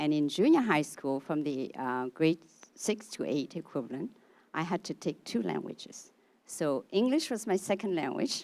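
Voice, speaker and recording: In a very clean recording with a silent background, a woman with a Vietnamese accent speaks at a very deep, low pitch with very wide pitch swings. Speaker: audience member. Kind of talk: audience question.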